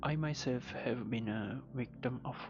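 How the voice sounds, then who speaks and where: A man is speaking. Music plays in the background. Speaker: self-help vlogger. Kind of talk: motivational talk.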